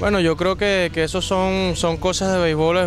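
Over noticeable background noise, a man speaks at a moderate pace with a dry sound with no echo. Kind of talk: interview answer. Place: stadium. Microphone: handheld.

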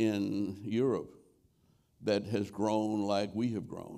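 Against a quiet background, a man speaks at a fairly low pitch in a dark, mellow tone. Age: 80s+. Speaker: former mayor and civil rights leader; former mayor. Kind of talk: interview answer. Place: stage.

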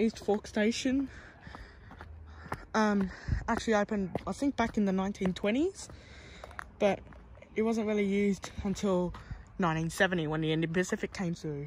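A woman talks at a moderate pace with ordinary pitch variation and long, frequent pauses. The sound is dry with no echo, though light background noise is present. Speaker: transport vlogger. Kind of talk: casual vlog chat. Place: station. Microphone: phone near.

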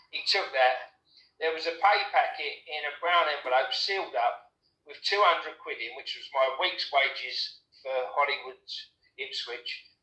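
The man's loudness swings widely. Audible room echo colors the recording. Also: fairly slow pace. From Essex, England. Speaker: former nightclub doorman. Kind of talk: interview testimony. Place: home room. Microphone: webcam.

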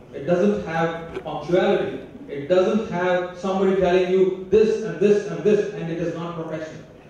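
Amid strong room echo and light background noise, a man speaks at a high pitch and moderate pace with ordinary pitch variation. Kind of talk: inaugural speech with storytelling. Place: stage.

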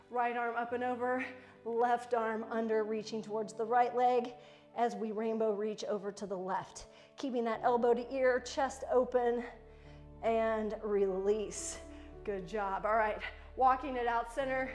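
A woman talks at a fairly slow pace with fairly even intonation while faint music plays in the background. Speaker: fitness instructor. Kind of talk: workout instruction. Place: gym.

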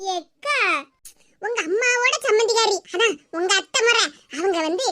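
A woman puts on a cartoonish character voice with an extremely high pitch. She speaks fairly slowly, with lively intonation.

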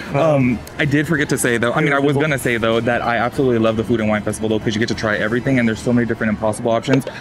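A man talks at a very fast clip with hardly any pauses, his intonation fairly even and his loudness very even, over faint background music. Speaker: vlogger. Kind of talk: casual vlog chat. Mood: chatty, joking. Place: street. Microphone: lapel.

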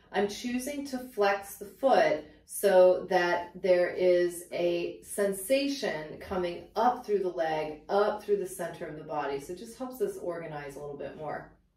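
Audible room echo follows a woman who speaks at a fairly slow pace with big swings in loudness. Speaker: pilates instructor. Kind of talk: tutorial. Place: home room.

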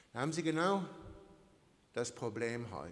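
Speaking in an animated tone, a man holds a moderate pace. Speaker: priest preaching. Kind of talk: sermon with a traffic-light metaphor, delivered to a church congregation. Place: church. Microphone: podium.

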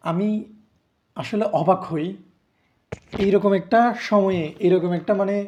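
This man has a high-pitched voice with a dark, mellow tone. His intonation stays fairly even. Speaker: YouTuber commenting on politics. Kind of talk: commentary monologue to camera.

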